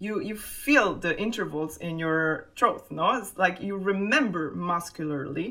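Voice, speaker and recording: This woman talks at a fairly slow pace with a medium pitch, lively intonation and hardly any pauses. Noticeable background noise runs underneath. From Italy. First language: Italian. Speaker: double bassist. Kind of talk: interview.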